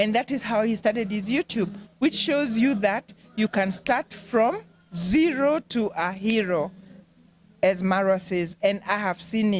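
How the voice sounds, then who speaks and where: At a fairly slow pace, a woman speaks with a fairly high pitch, lively intonation, and a somewhat breathy quality, recorded dry and close with no echo. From eastern Kenya. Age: 60s. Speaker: aspiring YouTuber interviewee. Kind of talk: interview.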